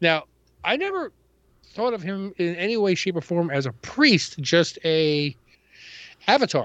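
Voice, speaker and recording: The speaker has a New York accent and a moderate pace. Pitch swings very widely, and long pauses come often. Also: man. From New York City (Queens). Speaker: comic book podcast co-host. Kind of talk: casual chat.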